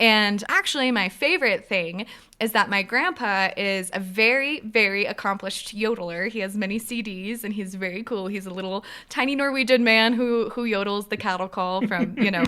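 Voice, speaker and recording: A woman talks at a moderate pace in a fairly high, bright, sharp voice. She has a slight Minnesotan accent and ordinary pitch variation. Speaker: podcast co-host. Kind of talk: casual chat.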